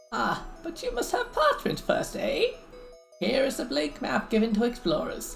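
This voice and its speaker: A put-on character voice at a moderate pace, clear music playing in the background. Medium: virtual streamer. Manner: authoritative, curt.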